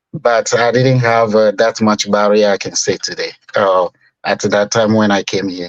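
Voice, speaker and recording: A man with a West African accent and a fairly low pitch. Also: fairly even intonation, moderate pace, dry, close sound with no echo. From Togo, West Africa. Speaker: business owner. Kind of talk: interview.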